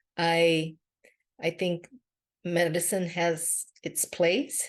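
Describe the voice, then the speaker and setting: A woman with a Brazilian Portuguese accent speaks over a quiet background. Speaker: podcast host and empowerment coach. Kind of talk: podcast monologue. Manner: casual with frequent fillers.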